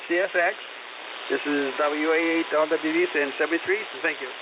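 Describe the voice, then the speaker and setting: This man's voice sits high in pitch, with monotone, flat intonation. Noticeable background noise runs underneath. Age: 80s+. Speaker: amateur radio operator. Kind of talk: radio net check-in. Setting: amateur radio transmission. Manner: halting.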